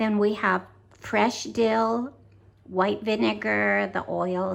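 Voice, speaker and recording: With an American accent, a woman is talking. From United States. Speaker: club activities organizer. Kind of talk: cooking tutorial. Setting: home kitchen. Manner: casual, many fillers.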